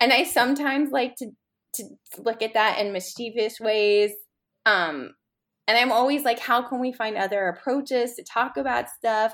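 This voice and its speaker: With an American accent, a woman talks at a fairly high pitch and a moderate pace, using ordinary pitch variation, on a very clean recording with a silent background. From New York City, Upper East Side. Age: 40s. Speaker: food writer and cookbook author. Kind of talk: casual chat.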